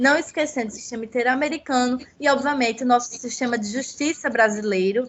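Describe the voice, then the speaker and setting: Hardly pausing, a woman talks at a fairly quick pace in a high pitch with ordinary pitch variation. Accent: Paraíba. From Paraíba, Brazil (Northeast). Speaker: legal researcher, children's rights. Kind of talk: academic seminar talk.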